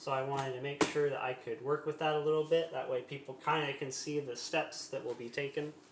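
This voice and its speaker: The delivery is fairly quick, with hardly any pauses and a monotone, flat intonation. Noticeable background noise sits behind it. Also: man, fairly high pitch for a man. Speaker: home cooking streamer. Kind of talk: cooking tutorial livestream. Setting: live stream at home kitchen. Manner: halting, stumbling over words.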